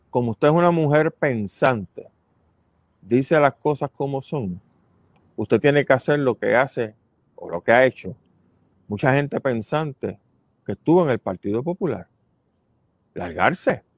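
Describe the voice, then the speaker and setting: Lively in intonation, a man speaks at a fairly high pitch and a fairly slow pace, pausing long and often, with a dry, close sound and no echo. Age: 60s. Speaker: podcast host and ecologist. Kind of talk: casual commentary. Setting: outdoor terrace at home.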